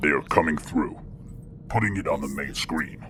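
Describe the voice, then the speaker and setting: In a put-on character voice, a man speaks with a very deep, low pitch at a moderate pace over clear background noise. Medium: audio drama. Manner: flat, dutiful.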